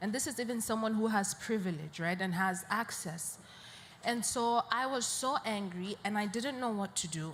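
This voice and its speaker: With a northern Nigerian accent, the speaker goes at a moderate pace and uses ordinary pitch variation. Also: woman, fairly high pitch for a woman. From Nigeria, Borno State. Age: 20s. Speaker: poet and peace advocate. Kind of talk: panel interview. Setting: live media session at an international conference.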